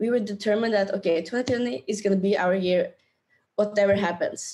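Delivered with a Norwegian accent, the voice has a dark, mellow tone, ordinary pitch variation and a moderate pace. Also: woman. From Norway. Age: 20s. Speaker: travel YouTuber and entrepreneur. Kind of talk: casual interview chat. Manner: animated, laughs often.

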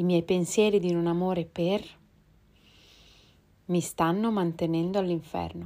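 Against a very clean recording with a silent background, a woman speaks at a fairly slow pace with long, frequent pauses, her fairly low, dark, mellow voice held to a monotone, flat intonation. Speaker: spiritual text reader and teacher. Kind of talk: reflective commentary; reading aloud. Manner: quieter, softer voice.

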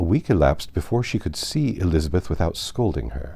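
Vocal fry runs through a man's very deep, low voice as it makes very wide pitch swings. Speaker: audiobook narrator. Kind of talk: literary audiobook reading aloud, polished scripted narration of a classic novel. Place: home room.

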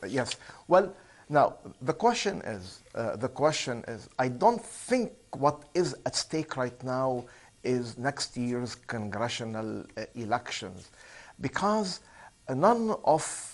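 Lively intonation at a very slow pace. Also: man. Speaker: remote guest. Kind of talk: interview answer. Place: studio. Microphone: lapel.

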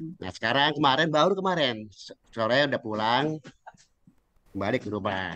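With long, frequent pauses and a moderate pace, the voice has a bright, sharp tone and lively intonation in a dry sound with no echo. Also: man. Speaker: retiree audience member; audience member. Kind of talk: question in Q&A. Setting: video call. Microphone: video call.

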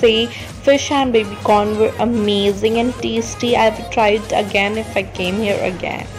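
Speech moves at a fairly slow pace. Music plays in the background. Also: woman. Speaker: vlogger. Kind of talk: casual vlog narration.

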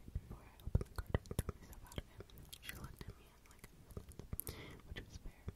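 Someone whispers at a very fast pace. Noticeable background noise is audible. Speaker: ASMR creator. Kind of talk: sleep story reading. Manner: whispered.

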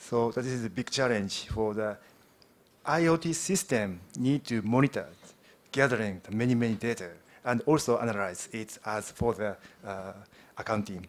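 A man with a Japanese accent and a medium pitch speaks at a moderate pace, with ordinary pitch variation, big swings in loudness and long, frequent pauses. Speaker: software team manager; conference presenter. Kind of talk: conference presentation; technical presentation. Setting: stage with audience. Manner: halting. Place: hall.

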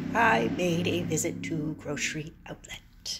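A woman's voice is heard with noticeable background noise. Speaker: vlogger; traveler vlogger. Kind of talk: casual chat. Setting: motel room. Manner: short bursts, halting. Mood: wry, self-mocking. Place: home room. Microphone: phone near.

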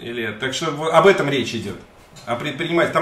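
An animated man at a very fast pace, fairly high pitch and ordinary pitch variation, with audible room echo. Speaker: YouTube streamer interviewing a guest; interview guest. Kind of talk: live stream conversation. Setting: studio. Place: home room. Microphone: webcam.

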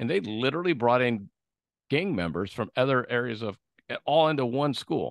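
A man with an American accent speaks at a fairly quick pace in an animated tone with lively intonation, in a dry sound with no echo and a quiet background. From San Diego, California; California. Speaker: podcast host and sales rep; podcast host, sales rep. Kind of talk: casual interview. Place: home room. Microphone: studio mic.

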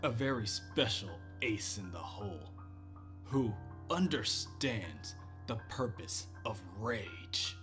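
A man's growling, menacing put-on character voice, fairly low-pitched, at a very slow pace with long, frequent pauses over background music. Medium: read story. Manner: contemptuous, menacing.

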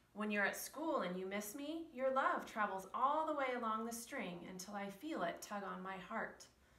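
At a moderate pace and with hardly any pauses, a woman uses lively intonation and a fairly high pitch, with audible room echo around her. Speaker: preschool teacher reading a story. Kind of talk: bedtime story reading, read aloud to children. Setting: video recording for preschool children. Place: classroom. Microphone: camera far.

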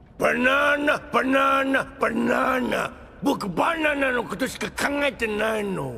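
Shouting in a put-on character voice at an extremely high pitch, a man speaks at a fairly slow pace over clear background noise. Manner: dopey, singsong, obsessed.

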